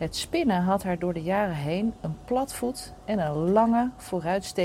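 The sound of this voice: The reading voice sounds unforced.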